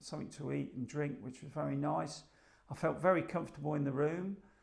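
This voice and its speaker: A man speaks with an English accent. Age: 60s. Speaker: hospital patient. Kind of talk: testimony. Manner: hesitant, many filler ums.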